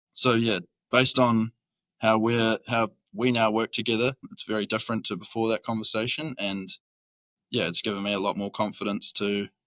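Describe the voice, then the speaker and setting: In a dry, close, very clean recording with a silent background, a man with a New Zealand accent speaks at a fairly quick pace. His fairly low voice has a bright, sharp tone and a monotone, flat intonation. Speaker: roofing worker. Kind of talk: casual chat.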